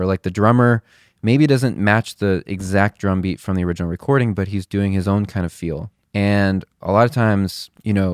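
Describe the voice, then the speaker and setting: A man with an American accent speaks fairly quickly in a plain, everyday voice, fairly low in pitch with ordinary pitch variation. The recording is very clean, with a silent background. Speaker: podcast host and worship leader. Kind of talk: casual chat.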